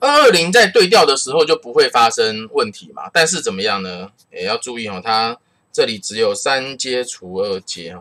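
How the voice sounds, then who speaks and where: A man at a moderate pace. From Taiwan. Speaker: math teacher. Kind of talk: lecture. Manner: casual, uses many filler particles.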